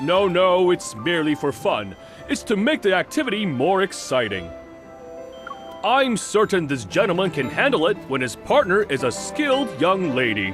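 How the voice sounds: In a put-on character voice, the speaker moves at a moderate pace with very wide pitch swings and a fairly bright tone, while faint music plays in the background. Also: man, high pitch for a man.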